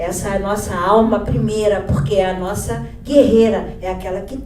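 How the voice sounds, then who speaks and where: There is noticeable background noise and audible room echo. Through it, a woman talks. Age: 60s. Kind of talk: panel talk. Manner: halting.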